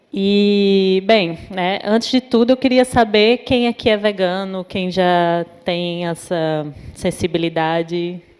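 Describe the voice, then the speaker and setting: A woman speaks very slowly with a northeastern Brazilian accent. Her pitch sits in the medium range and varies in an ordinary way. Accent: Natal (Northeast Brazilian). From Northeast Brazil, Natal. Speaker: psychologist and popular educator. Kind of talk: talk at an event. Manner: hesitant, many fillers.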